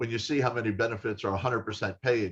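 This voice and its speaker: Against a quiet background, a man speaks somewhat breathily with fairly even intonation. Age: 60s. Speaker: health insurer live stream host. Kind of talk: live stream interview chat. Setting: Facebook live broadcast. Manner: casual, conversational.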